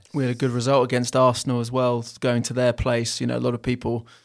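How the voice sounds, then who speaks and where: Flat and monotone in intonation, a man with an English accent speaks in a medium pitch. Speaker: football club podcast host. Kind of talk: casual chat.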